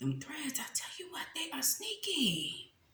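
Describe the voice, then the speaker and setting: A woman's animated tone carries through audible room echo and noticeable background noise. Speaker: mukbang youtuber. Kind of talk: casual eating chat to camera.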